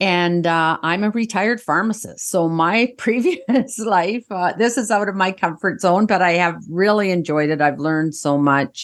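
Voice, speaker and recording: A woman with a Canadian accent talks in an ordinary speaking voice at a moderate pace, her medium pitch showing ordinary variation, with very even loudness and hardly any pauses. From Canada. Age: 60s. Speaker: podcaster, retired pharmacist. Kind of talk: casual chat.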